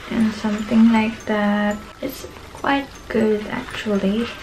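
Very slow speech over light background noise. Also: woman. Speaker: vlogger. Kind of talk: casual vlog chat, product show. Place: home room. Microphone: camera far.

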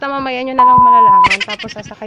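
Over loud background noise, a woman speaks at a moderate pace. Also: dry sound with no echo. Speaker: travel vlogger. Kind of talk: casual vlog chat. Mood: cheerful, playful. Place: street. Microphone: phone near.

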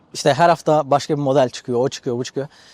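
A man with a fairly high pitch talks at a very fast pace with fairly even intonation, in a dry, close sound with no echo. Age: 20s. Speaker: podcaster. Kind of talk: casual monologue. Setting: outdoors on the seafront.

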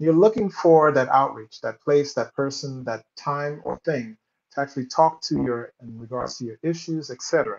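A man at a moderate pace, with ordinary pitch variation and big swings in loudness. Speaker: panel moderator. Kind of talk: moderating a live panel discussion. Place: home room.

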